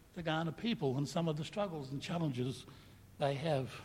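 The speech moves at a fairly quick pace. There is noticeable background noise and audible room echo. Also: man. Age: 60s. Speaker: pastor. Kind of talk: sermon.

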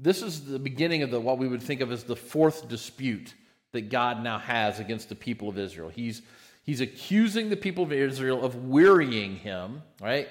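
On a very clean recording with a silent background, a man with a plain, everyday voice speaks at medium pitch and a moderate pace, using lively intonation. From United States. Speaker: pastor. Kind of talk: sermon.

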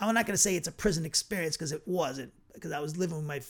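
At a very fast pace, a man speaks in a fairly high pitch. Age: 50s. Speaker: bible teacher. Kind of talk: bible study lecture; personal story. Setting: online video broadcast. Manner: casual, halting with fillers.

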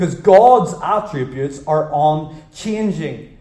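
A man's fairly high voice rises and falls with lively intonation, with noticeable background noise behind it. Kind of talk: sermon. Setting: church, live congregation. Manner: expository, teacherly, pausing to quiz the congregation.

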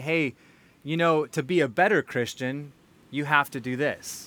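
Recorded very cleanly against a silent background, a man speaks with a fairly high pitch, a bright, sharp tone and fairly even intonation. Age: 40s. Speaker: pastor. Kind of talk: sermon.

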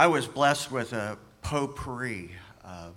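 With an American accent and a bright, sharp tone, a man speaks at a very slow pace. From US. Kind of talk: testimony.

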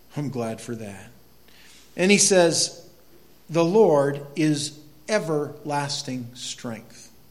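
With an American accent, a man with a fairly high pitch speaks at a very slow pace, using long, frequent pauses, lively intonation and big swings in loudness, and the room echo is audible. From northern Maine, US. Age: 50s. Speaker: pastor. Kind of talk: sermon.

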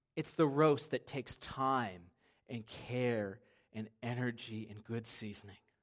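A man's plain, everyday voice at a medium pitch, fairly slow, with ordinary pitch variation and big swings in loudness. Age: 30s. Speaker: pastor. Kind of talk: sermon.

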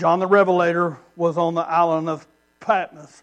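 A man in a high pitch with a Southern US accent, moderate pace, and monotone, flat intonation. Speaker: missionary preacher. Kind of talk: sermon. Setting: church. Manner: loud.

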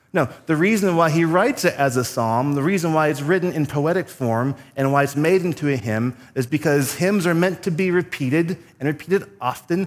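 A normal speaking voice from a man, fairly high in pitch, fairly quick in pace, with ordinary pitch variation. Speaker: preacher. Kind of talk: sermon. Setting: church. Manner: formal, measured with filler pauses.

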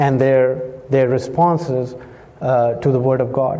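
A man speaks at a very slow pace over noticeable background noise. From Pakistan. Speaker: missionary preacher. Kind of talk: sermon. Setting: church.

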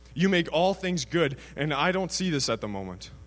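Music plays behind the speech. The speaker is a man with a fairly high pitch. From Canada, British Columbia (Prince George). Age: 20s. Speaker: student sharing his faith story. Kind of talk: testimony.

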